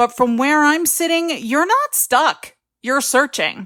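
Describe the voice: A woman's cartoonish character voice, high and fairly bright, with lively intonation and a slow pace, on a very clean recording with a silent background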